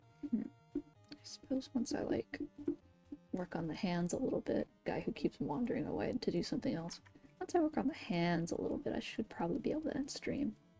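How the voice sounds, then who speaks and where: With music in the background, a woman speaks at a fairly quick pace and a fairly high pitch, her voice making very wide pitch swings. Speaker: streamer painting live. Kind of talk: casual live-stream chat.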